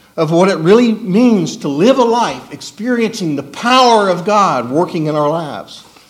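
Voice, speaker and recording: A man speaks at a moderate pace in a high pitch for a man, his intonation lively, with audible room echo around him. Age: 60s. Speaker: preacher. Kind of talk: sermon.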